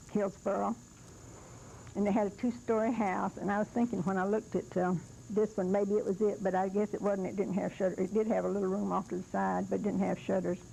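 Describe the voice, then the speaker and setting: A woman rushes along at a very fast pace, her medium-pitched voice flat and monotone with vocal fry. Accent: American. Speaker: hurricane survivor. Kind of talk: oral history interview. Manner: halting.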